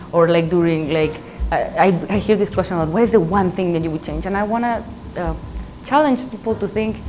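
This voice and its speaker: A woman with a Spanish accent talks at a fairly quick pace with lively intonation and long, frequent pauses, over noticeable background noise. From Mexico. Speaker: math professor. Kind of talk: interview. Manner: halting, with fillers and repeats.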